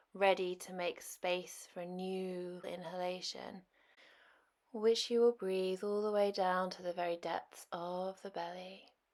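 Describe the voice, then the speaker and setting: The woman speaks at a fairly slow pace with a gentle tone, medium pitch, monotone, flat intonation, and big swings in loudness. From Britain. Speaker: yoga teacher. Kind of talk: guided yoga class narration. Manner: slow, gentle.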